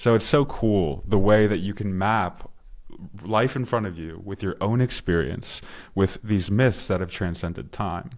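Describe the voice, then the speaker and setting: In a very clean recording with a silent background, a man with an American accent and a plain, everyday voice speaks fairly slowly with ordinary pitch variation. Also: fairly low pitch for a man. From US, Maryland. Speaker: podcast host. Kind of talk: conversational interview.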